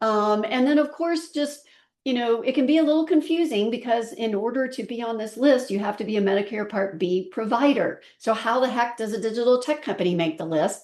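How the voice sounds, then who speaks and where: This woman has a fairly high pitch and lively intonation. She talks at a fairly quick pace with hardly any pauses. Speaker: health tech company president and webinar host. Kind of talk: webinar presentation. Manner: many filler words, hesitant.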